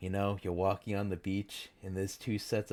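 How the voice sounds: The voice reading here sounds natural.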